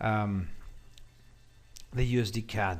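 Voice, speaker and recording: The speaker is a man. His pitch is fairly low. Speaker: forex trading educator. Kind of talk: market analysis tutorial. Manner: hesitant, many fillers.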